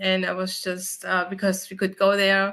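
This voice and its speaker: In a German accent, a woman talks at a fairly slow pace with a medium pitch. Her tone is bright and sharp against a quiet background. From Germany. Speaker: mortgage loan officer. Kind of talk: interview bio.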